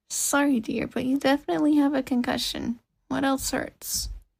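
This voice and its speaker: A woman puts on a raspy, high-pitched character voice. She keeps a moderate pace with ordinary pitch variation. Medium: read story. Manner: gentle, motherly.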